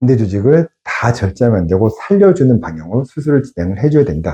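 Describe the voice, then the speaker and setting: A man with a medium pitch talks at a fairly quick pace, his voice showing vocal fry and very wide pitch swings. The tone is dark and mellow, with a dry, close sound and no echo. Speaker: surgeon. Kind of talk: medical explainer video. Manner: conversational, explanatory.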